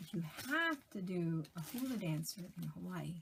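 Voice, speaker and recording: The speaker's somewhat breathy voice moves at a very slow pace with lively intonation. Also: woman. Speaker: cross-stitch vlogger. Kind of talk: casual vlog chat.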